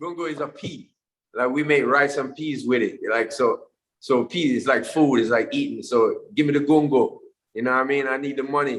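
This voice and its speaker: A man's voice sits at a fairly high pitch. He keeps a moderate pace and fairly even intonation. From Jamaica. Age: 40s. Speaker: musician. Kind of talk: interview answer. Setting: video call.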